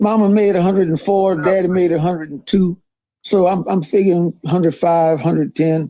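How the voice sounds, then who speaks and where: At a moderate pace, a man speaks in a high pitch. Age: 80s+. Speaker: politician. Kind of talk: interview.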